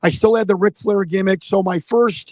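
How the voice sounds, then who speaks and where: A loud man with a high voice for a man and a Chicago accent, at a moderate pace with fairly even intonation. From Chicago, US Midwest. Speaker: former pro wrestler and political candidate. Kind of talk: live stream Q&A interview. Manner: halting.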